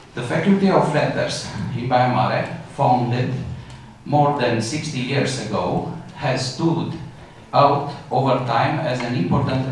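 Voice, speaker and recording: Fairly slow speech from a man at medium pitch, amid audible room echo and noticeable background noise. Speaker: university dean. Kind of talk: formal opening speech. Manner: halting; formal.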